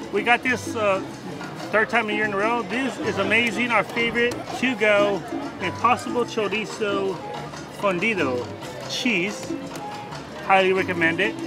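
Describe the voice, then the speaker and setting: A man speaks in a raised, projected voice at a moderate pace, with long, frequent pauses. Clear music plays in the background, and the sound is dry with no echo. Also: ordinary pitch variation. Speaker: theme park vlogger. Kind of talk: casual vlog chat. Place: street. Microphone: phone near.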